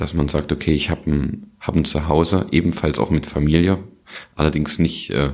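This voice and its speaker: Noticeable background noise runs under the recording. Over it, a man speaks with a very deep, low pitch. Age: 20s. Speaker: podcast co-host. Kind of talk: casual chat.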